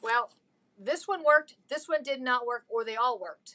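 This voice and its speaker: Raised and projected, a woman's high voice has a bright, sharp tone and lively intonation at a fairly slow pace. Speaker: craft tutorial host. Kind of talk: tutorial.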